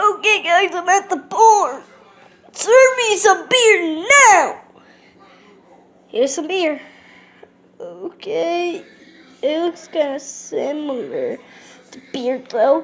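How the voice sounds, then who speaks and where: A cartoonish character voice, extremely high in pitch, moves at a very slow pace with long, frequent pauses. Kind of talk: puppet show talk to camera.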